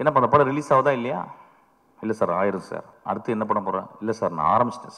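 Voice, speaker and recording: Lively intonation colors the speech of a man with a medium pitch. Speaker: film director. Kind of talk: speech at a film trailer launch. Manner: humorous, anecdotal.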